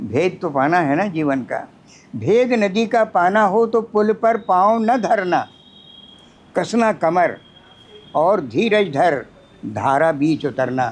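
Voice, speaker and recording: Long, frequent pauses break up a man's speech. His pitch is high and swings very widely. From Chambal valley, Madhya Pradesh, India. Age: 80s+. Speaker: poet. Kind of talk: poetry reading.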